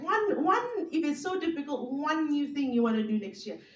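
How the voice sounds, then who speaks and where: A woman speaks at a fairly quick pace with very wide pitch swings, and audible room echo is heard. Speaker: speaker, former radio professional. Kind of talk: talk to an audience. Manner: fast.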